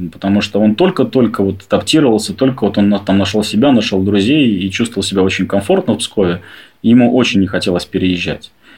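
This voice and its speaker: With an ordinary speaking voice, this man has a fairly low pitch. He goes at a fairly quick pace, and his pitch shows ordinary variation. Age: 30s. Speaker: adoptive father. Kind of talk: personal story interview.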